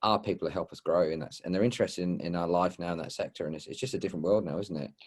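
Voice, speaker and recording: A man speaks very fast with a strong Australian accent, his very deep, low voice moving with ordinary pitch variation over a very clean recording with a silent background. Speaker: supported living property investor. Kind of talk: podcast interview.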